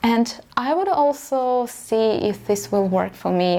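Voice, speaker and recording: The speaker has a Russian accent. Background noise is noticeable. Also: woman. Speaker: vlogger, aspiring fashion designer. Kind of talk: personal story vlog.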